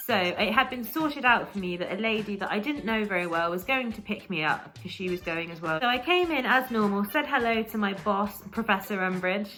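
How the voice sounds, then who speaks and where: Music plays behind a woman with an English accent and a medium pitch. She talks at a fairly quick pace with lively intonation and hardly any pauses. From England. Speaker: vlogger with Tourette's and epilepsy. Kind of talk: storytime monologue. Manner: occasional vocal tics.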